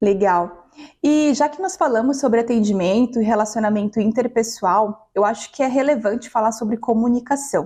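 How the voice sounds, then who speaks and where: A woman's fairly high voice, an ordinary speaking voice, at a moderate pace with ordinary pitch variation. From Maranhão, Brazil. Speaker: customer success professional, talk host. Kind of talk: panel talk.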